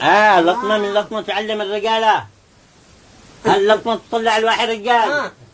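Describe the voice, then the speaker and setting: A man's high-pitched voice with a Taiz accent, at a moderate pace in a monotone, flat intonation, over noticeable background noise. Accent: Taizzi Yemeni Arabic. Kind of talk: folk tale told in Taizzi dialect.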